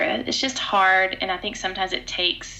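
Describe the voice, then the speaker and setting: A woman speaks in a medium pitch with noticeable background noise. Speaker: podcast host and speaker. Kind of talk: casual chat. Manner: loud.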